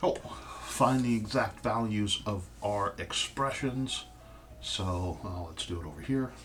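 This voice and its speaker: Noticeable background noise surrounds a man with a fairly low pitch. He speaks at a fairly slow pace with lively intonation. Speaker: math teacher. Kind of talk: tutorial.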